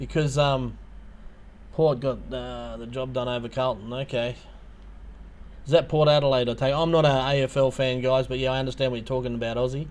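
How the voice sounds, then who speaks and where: A man with an Australian accent speaks at a medium pitch in a monotone, flat way. He leaves long, frequent pauses. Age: 50s. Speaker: YouTuber. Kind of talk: livestream chat. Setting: livestream. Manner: hesitant, many fillers.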